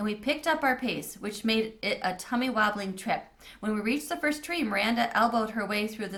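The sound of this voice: The clip is in an unforced reading voice.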